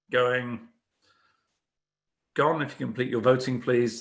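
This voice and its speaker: A man speaks with a British accent. His pitch is medium and his pace moderate. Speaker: cyber risk consultant, webinar moderator. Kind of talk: corporate webinar presentation.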